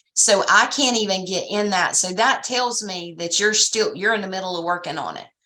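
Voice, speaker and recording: A woman speaks at medium pitch and a moderate pace, with ordinary pitch variation and hardly any pauses. Audible room echo fills the recording. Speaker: franchise business consultant. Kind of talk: training session.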